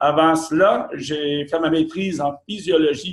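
A man's voice against a quiet background. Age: 50s. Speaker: company executive; presenter. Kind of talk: sales pitch. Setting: office. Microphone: video call.

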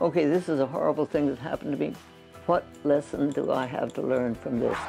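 Over faint background music, the speaker talks at a very fast pace with ordinary pitch variation. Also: woman, very deep, low pitch for a woman. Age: 80s+. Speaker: physician. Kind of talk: interview answer. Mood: warm, reflective. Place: home room. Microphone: lapel.

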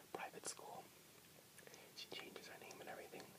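Loud background noise fills the recording. Over it, a man speaks. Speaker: vlogger. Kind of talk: casual vlog chat. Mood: animated movie talk. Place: home room. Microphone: earbuds.

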